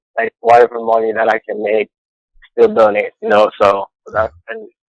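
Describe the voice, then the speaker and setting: Moderate pace, a Cameroonian accent, and a dry, close sound with no echo. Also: man. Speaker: caller. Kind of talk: phone-in call to live show. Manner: enthusiastic.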